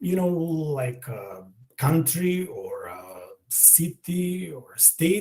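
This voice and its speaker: With a Macedonian accent, a man speaks at a very slow pace in a high pitch with a dark, mellow tone. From North Macedonia, Skopje. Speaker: language teacher. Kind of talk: online language lesson. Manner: hesitant, many fillers.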